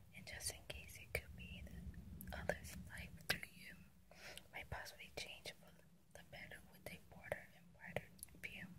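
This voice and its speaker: A fairly slow whisper from a woman. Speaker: ASMR creator. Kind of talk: poetry reading. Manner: whispered, soft-spoken. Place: car. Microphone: phone near.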